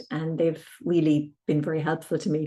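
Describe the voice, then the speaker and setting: With an Irish accent, a woman speaks at a moderate pace in a very deep, low voice with a dark, mellow tone and fairly even intonation. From Ireland, County Tipperary. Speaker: harpist and singer-composer. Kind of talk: interview.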